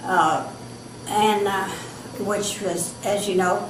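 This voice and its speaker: A woman with a medium-pitched voice and an American accent speaks over noticeable background noise. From Texas. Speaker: war veteran. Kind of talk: interview answer.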